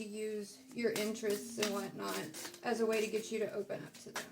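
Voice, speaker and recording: Over noticeable background noise, a woman with an American accent speaks at a moderate pace and a fairly high pitch. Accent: southern US accent, comes out at times. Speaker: tarot reader. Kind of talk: casual tarot reading monologue. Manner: casual, with many fillers.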